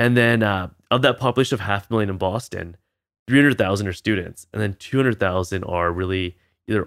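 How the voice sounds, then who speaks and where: In a plain, everyday voice with a Canadian accent, a man speaks fairly quickly at a fairly low pitch with ordinary pitch variation, on a very clean recording with a silent background. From Canada (British Columbia). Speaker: optometrist. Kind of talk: casual chat.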